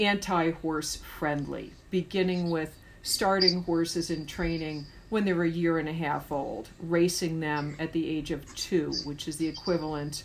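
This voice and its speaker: A woman with a plain, everyday voice and an American accent speaks at a fairly slow pace, her fairly low pitch following fairly even intonation. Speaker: horse rescue advocate. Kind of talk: interview.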